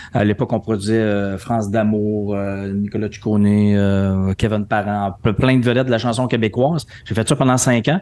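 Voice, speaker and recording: Over a silent background on a very clean recording, a man talks in a normal speaking voice at a moderate pace, fairly low in pitch and with fairly even intonation. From Quebec City, Quebec. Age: 50s. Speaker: entrepreneur and speaker. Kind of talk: podcast interview.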